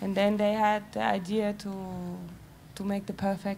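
Over light background noise, a somewhat breathy voice with a dark, mellow tone moves at a very slow pace with monotone, flat intonation. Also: woman. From Germany. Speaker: clothing brand representative; speaker. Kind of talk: panel discussion. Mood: calm, thoughtful. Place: stage. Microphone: handheld.

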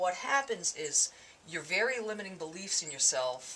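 A woman with a fairly low pitch talks at a fairly slow pace with very wide pitch swings, and light background noise can be heard. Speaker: mindset coach. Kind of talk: casual talk to camera. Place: office.

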